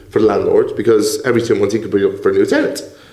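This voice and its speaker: A man talks over noticeable background noise. The room echo is audible. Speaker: property entrepreneur. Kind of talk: podcast interview. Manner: fast.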